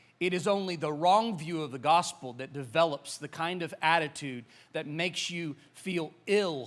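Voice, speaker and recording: In an American accent, a man speaks at a moderate pace with a fairly high pitch and ordinary pitch variation. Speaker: pastor. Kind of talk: sermon. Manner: casual, hesitant with many fillers.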